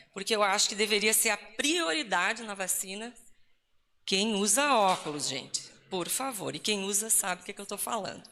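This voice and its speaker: At a moderate pace, a woman speaks with medium pitch, ordinary pitch variation and a bright, sharp tone. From Rio Grande do Sul, southern Brazil. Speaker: Lutheran pastor. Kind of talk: talk at ecumenical church event. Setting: live event with audience and slides. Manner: casual, joking.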